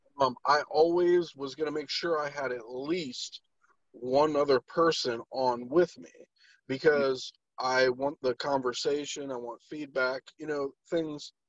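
Dry and close with no echo, a man's fairly high-pitched, unremarkable speaking voice moves at a fairly slow pace with fairly even intonation and big swings in loudness. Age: 30s. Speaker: podcast host. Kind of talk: casual chat.

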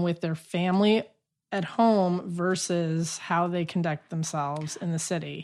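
A woman with an American accent and an ordinary speaking voice talks at a fairly slow pace, her fairly low pitch held in fairly even intonation over a quiet background. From US Southwest, Albuquerque, New Mexico. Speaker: improv and sketch comedian. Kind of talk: casual chat. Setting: home studio in a basement.

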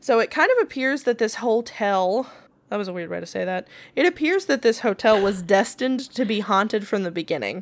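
A woman with an American accent talks at a fairly quick pace in a fairly high pitch, with an unremarkable speaking voice. The recording is very clean, with a silent background. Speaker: podcast co-host. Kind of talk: casual chat and paranormal storytelling. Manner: playful, laughs often.

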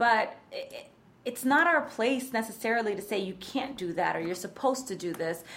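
Lively intonation marks this woman's moderate-paced speech. Audible room echo surrounds her. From New York, the Bronx. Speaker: writer and poet, educator. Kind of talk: casual interview chat.

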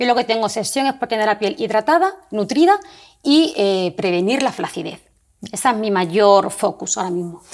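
At a moderate pace, a woman with a normal speaking voice talks fairly high in pitch with lively intonation. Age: 40s. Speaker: pharmacist and entrepreneur. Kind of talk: casual interview.

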